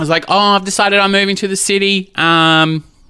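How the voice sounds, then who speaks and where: Bright and sharp in tone, a man speaks with an Australian accent. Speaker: drag queen and single dad. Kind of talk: casual interview chat.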